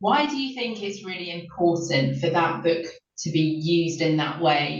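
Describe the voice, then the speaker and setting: Speaking with a South London accent, a woman uses a very deep, low pitch, ordinary pitch variation and a moderate pace, with audible room echo and noticeable background noise. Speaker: literacy programme director and editor. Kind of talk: panel discussion.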